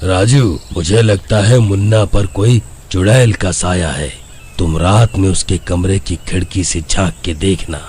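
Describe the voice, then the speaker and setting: In a cartoonish character voice, a man with a very deep, low pitch speaks at a fairly slow pace with ordinary pitch variation over clear background noise. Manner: calm, assured.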